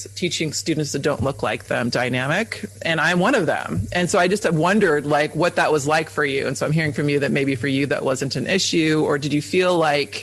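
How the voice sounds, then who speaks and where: A man with an American accent, fairly quick and barely pausing, lively in intonation and very even in loudness, against noticeable background noise. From East Bay, California. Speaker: teacher and podcast host. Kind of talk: podcast interview. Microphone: sound distorted, voice got very low.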